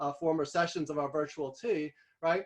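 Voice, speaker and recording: A man talks at a fairly quick pace with a New York accent. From New York City. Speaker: guest speaker on visual thinking. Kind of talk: workshop presentation. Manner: fast.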